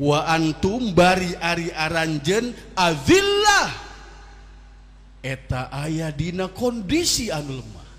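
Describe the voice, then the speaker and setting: Music plays in the background as a man with a high pitch speaks at a very slow pace. His loudness swings widely, and the room echo is audible. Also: ordinary pitch variation. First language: Sundanese (speaking Indonesian). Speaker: Islamic preacher (kiai). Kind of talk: sermon.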